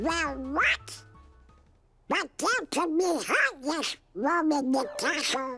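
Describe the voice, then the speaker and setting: A put-on character voice speaks at a very slow pace while faint music plays in the background. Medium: video game.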